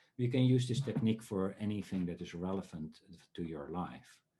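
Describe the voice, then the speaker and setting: A man talks at a moderate pace with a Dutch accent. His tone is dark and mellow. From Netherlands. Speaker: dream researcher and workshop speaker. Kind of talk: online talk. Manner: halting, many filler sounds.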